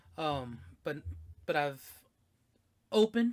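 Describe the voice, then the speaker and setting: Recorded very cleanly against a silent background, a man speaks at a fairly high pitch. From Mexican-American, US. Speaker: podcast co-host. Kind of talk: casual chat.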